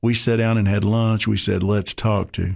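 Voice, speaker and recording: Against a quiet background, a man talks at a fairly slow pace. He has a Tennessee accent. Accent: Southern US (Tennessee). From East Tennessee (Maryville). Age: 60s. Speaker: former county party chairman, football coach. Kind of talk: radio interview.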